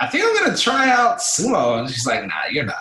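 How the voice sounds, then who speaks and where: A man with an American accent speaks in a raised, projected voice. His pace is fairly quick. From Los Angeles, US. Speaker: amateur sumo wrestler and coach. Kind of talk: recorded interview. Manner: casual, halting with repetitions.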